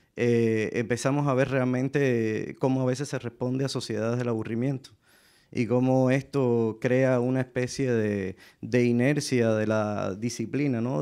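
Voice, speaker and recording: Against a quiet background, a man with a dark, mellow tone and medium pitch speaks at a fairly slow pace with fairly even intonation. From Cuba. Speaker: artist; panelist. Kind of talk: panel discussion. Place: stage. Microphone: handheld.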